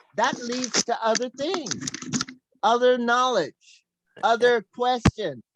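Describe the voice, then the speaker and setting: A loud woman speaks at a very slow pace with long, frequent pauses. Her pitch is high, with ordinary variation. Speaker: talk show host. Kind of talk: casual chat.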